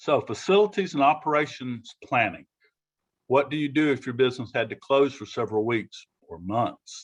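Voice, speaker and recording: A man with a Southern US accent talks at a moderate pace in a fairly high pitch. His intonation is lively and his loudness swings widely. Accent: Southern US (Georgia). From Georgia, US South. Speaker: business preparedness presenter. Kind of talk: presentation to business owners. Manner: halting, many fillers and repeats.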